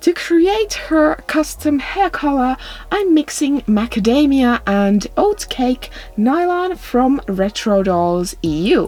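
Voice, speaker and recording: Against noticeable background noise, a woman speaks very slowly in a high voice with very wide pitch swings and very even loudness. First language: not English. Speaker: doll customizing video creator. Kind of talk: voiceover tutorial narration.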